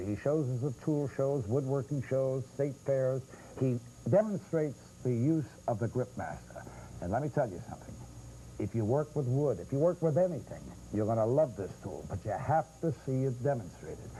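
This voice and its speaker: A man's somewhat breathy voice, dark and mellow in tone, medium in pitch, with ordinary pitch variation at a moderate pace. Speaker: infomercial host. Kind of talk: infomercial pitch.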